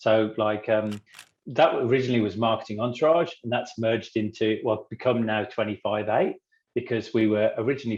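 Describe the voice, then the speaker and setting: A man speaks at a medium pitch with an English accent. His intonation stays fairly even and his pace is fairly quick. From England. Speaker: business cofounder. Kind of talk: podcast interview.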